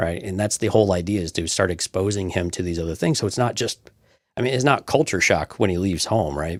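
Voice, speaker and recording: A man at a very deep, low pitch, very fast pace, ordinary pitch variation, very clean recording with a silent background. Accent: American. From Texas. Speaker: podcast co-host. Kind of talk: casual chat.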